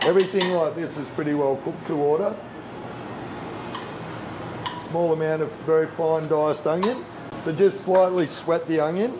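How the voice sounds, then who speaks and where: A man with fairly even intonation at a moderate pace, long, frequent pauses and noticeable background noise. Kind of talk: cooking demonstration tutorial. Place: kitchen.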